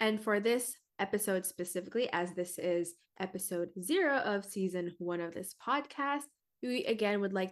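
Against a quiet background, a woman with a plain, everyday voice talks at a moderate pace and medium pitch. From Philippines, moved to US around age 9-10. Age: 20s. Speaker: podcast host, singer and dancer. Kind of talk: casual chat.

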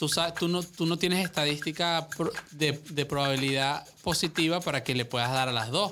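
At a moderate pace, the voice has a bright, sharp tone, ordinary pitch variation and very even loudness on a very clean recording with a silent background. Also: man, fairly high pitch for a man. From Venezuela, Caracas. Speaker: podcast guest. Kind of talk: casual chat. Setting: studio.

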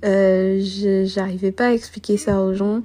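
A woman's somewhat breathy, medium-pitched voice with a dark, mellow tone. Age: 20s. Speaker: podcaster. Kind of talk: solo monologue. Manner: unscripted, hesitant.

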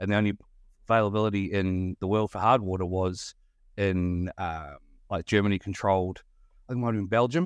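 With a New Zealand accent and fairly low pitch, a man talks at a fairly quick pace with fairly even intonation and long, frequent pauses, in a quiet background with a dry, close sound and no echo. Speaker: podcast host guesting. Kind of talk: casual chat. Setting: remote call.

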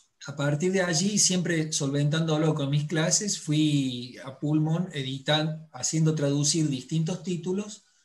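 A man with a normal speaking voice talks at a fairly slow pace, fairly high in pitch, with fairly even intonation and hardly any pauses. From Córdoba, Argentina. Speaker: book publisher and tango teacher. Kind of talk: casual chat.

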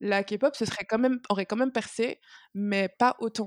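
In a very clean recording with a silent background and a dry, close sound with no echo, a woman has an ordinary speaking voice, fairly high pitch, fairly even intonation and a moderate pace. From Martinique. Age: 20s. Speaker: student and K-pop fan. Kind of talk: casual chat.

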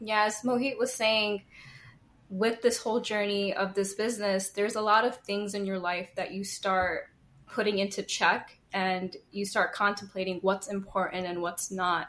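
A woman speaks with an American accent in an ordinary speaking voice, at medium pitch. Her intonation stays fairly even and her pace is moderate. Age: 30s. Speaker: small business owner. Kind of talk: casual interview.

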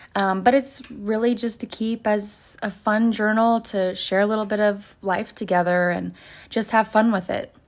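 Here a woman speaks at a moderate pace in a normal speaking voice, fairly high in pitch with fairly even intonation. The recording is very clean, the background silent. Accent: American. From Oklahoma. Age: 20s. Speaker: podcaster and college student. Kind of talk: casual solo monologue. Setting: desk at home. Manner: giggly, frequent laughter.

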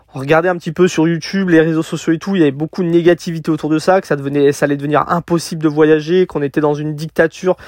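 A man uses a plain, everyday voice at a fairly high pitch and a fairly quick pace, with fairly even intonation and a dry, close sound with no echo. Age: 30s. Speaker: podcaster, van-life nomad. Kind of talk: solo podcast monologue. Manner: casual, with many fillers.

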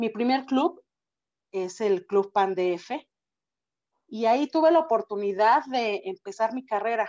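A woman with fairly high pitch and lively intonation speaks at a fairly slow pace, taking long, frequent pauses. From Mexico. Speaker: public speaking club member. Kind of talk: interview.

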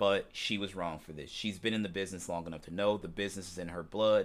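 With an ordinary speaking voice, a man talks at a fairly low pitch with fairly even intonation on a very clean recording with a silent background. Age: 40s. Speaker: wrestling news podcast host. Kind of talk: solo news commentary podcast. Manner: casual, filler-heavy (um, uh).

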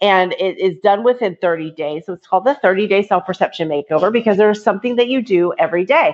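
Words come at a very fast pace with hardly any pauses and ordinary pitch variation, against a quiet background. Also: woman, medium pitch for a woman. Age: 40s. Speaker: author and entrepreneur. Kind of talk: interview.

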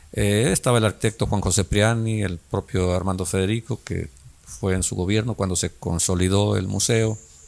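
At a moderate pace, an unremarkable speaking voice carries fairly even intonation over a very clean recording with a silent background. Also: man, fairly low pitch for a man. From Mexico, Guerrero coast (Coacoyul, Zihuatanejo). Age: 60s. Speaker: local politician. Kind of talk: interview.

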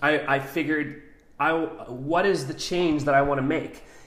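Audible room echo around a fairly high-pitched male voice. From New Mexico, Albuquerque. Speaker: coffee company founder, military veteran. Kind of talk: casual interview.

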